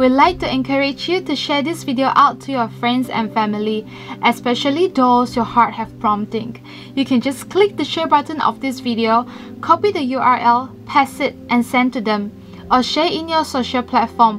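A high-pitched woman speaking at a moderate pace over clear background music. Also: ordinary pitch variation. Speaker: church announcer. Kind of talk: announcements to online congregation. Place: studio.

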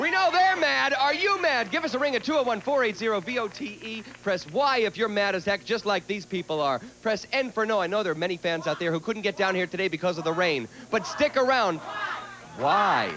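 A high-pitched man projects a raised voice at a moderate pace with hardly any pauses. His pitch swings very widely against noticeable background noise. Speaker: TV talk show host. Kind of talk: talk show hosting. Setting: studio with audience. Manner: animated. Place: studio. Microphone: handheld.

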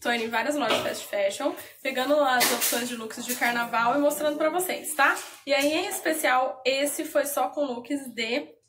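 A high-pitched woman speaks over noticeable background noise. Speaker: fashion vlogger. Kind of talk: casual vlog chat. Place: home room. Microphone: phone near.

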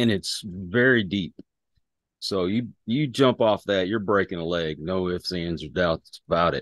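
A man with a very deep, low pitch talks at a fairly slow pace with ordinary pitch variation. The sound is dry with no echo, and the background is quiet. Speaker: podcast guest. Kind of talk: interview answer. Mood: relaxed, reflective. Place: home room. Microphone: video call.

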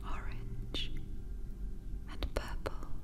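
Amid noticeable background noise, a woman is whispering. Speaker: hypnotherapist. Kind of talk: sleep hypnosis. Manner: whispered; soft-spoken, slow.

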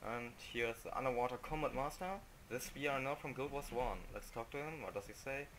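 A man speaks fairly quickly with a non-native accent. His intonation stays fairly even. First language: non-native English speaker. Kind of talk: casual video game commentary.

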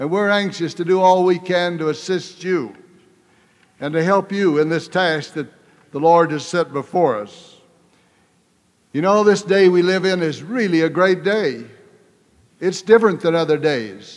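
Over a quiet background, a man with a high pitch speaks with ordinary pitch variation and long, frequent pauses. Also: moderate pace. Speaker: church leader. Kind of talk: religious devotional speech. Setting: live audience. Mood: warm, earnest. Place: hall.

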